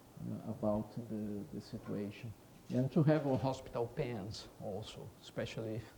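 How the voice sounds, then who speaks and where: This man speaks with a Portuguese accent, his pitch fairly low with ordinary variation. Audible room echo surrounds his voice. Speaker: veterinary professor. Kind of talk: conference talk. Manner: halting, many fillers; deliberately slow.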